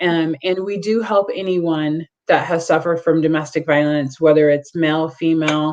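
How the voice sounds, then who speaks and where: With a normal speaking voice, a woman talks at a moderate pace, her fairly low pitch following a fairly even intonation. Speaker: domestic violence agency representative. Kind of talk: presentation with Q&A.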